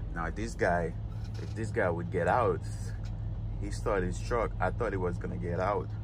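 A man speaks at a moderate pace in a very deep, low pitch. Noticeable background noise runs under a dry sound with no echo. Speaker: truck driver vlogger. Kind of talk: casual vlog chat. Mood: mildly annoyed. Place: car. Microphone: phone near.

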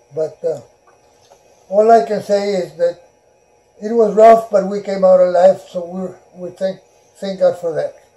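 A man speaks at a high pitch and a fairly slow pace, in a flat monotone. He leaves long, frequent pauses. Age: 90s. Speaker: World War II Navy veteran, rancher. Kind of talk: interview answer. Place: home room.

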